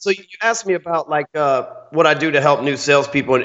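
This speaker talks at a fairly quick pace with a Texan accent. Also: man. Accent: Texan, Southern US. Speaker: guest, sales trainer. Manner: loud, salesman-like.

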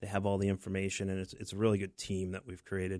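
A man with an American accent talks at a very fast pace in a very deep, low, monotone, flat voice. The recording is very clean, with a silent background. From southern Maine, US. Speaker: remodeling contractor. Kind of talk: radio interview.

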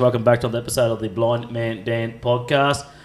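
A man with an Australian accent speaks at a moderate pace. His pitch is medium, and there is noticeable background noise. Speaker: podcast host. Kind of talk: casual chat. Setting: kitchen table.

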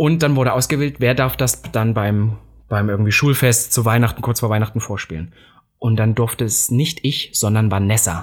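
His pitch medium and varying in an ordinary way, a man speaks with a somewhat breathy quality. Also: moderate pace, very even loudness. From eastern Germany, Saxony-Anhalt. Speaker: podcast co-host. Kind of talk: casual chat.

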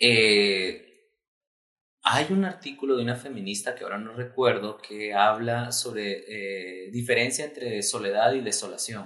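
Speaking fairly slowly, a man has a plain, everyday voice, a medium pitch and ordinary pitch variation. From Guatemala, raised in Guatemala City. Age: 30s. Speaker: human rights activist. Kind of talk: interview conversation.

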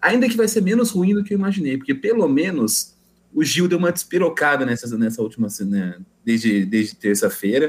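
The voice moves through very wide pitch swings at a fairly quick pace. Its loudness stays very even. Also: man, fairly high pitch for a man. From Brazilian countryside (interior). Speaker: podcast guest. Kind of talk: casual chat.

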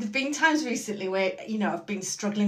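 A woman's medium-pitched speech carries audible room echo. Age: middle-aged. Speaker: podcast co-host and Pilates client. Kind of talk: casual chat.

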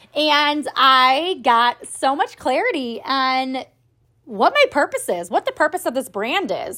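A woman's raised, projected, high voice, bright and sharp, animated, with very wide pitch swings at a fairly slow pace, on a very clean recording with a silent background. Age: 30s. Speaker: podcast host and business coach for women entrepreneurs. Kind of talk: solo podcast monologue.

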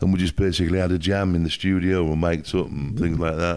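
A man with a Yorkshire accent talks at a fairly quick pace in a very deep, low pitch. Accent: northern English (Yorkshire). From northern England, Hull (Yorkshire). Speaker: music producer. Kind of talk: casual interview chat. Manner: halting, with many fillers.

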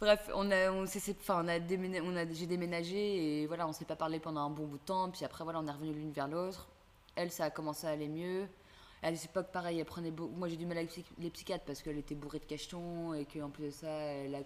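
Her pace is very fast and her pitch fairly low for a woman. The intonation stays monotone and flat. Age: 20s. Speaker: student. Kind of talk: casual chat.

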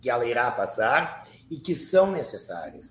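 The man's voice is somewhat breathy, and his pace is fairly slow. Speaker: Afro-Brazilian religious priest, astrologer and psychologist. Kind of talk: interview conversation. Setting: live video stream.

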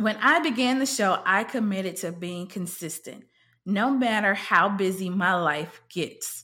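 A woman with a medium pitch and lively intonation speaks at a fairly slow pace in a very clean recording with a silent background. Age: 30s. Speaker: podcast host and college coach. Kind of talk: solo podcast monologue.

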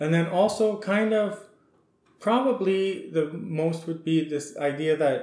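The speaker has a western Canadian accent and talks at a very slow pace with ordinary pitch variation. Audible room echo surrounds the voice. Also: man. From Saskatchewan, Canada. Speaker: ethnobotanist and garden design consultant. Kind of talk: interview. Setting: podcast recording.

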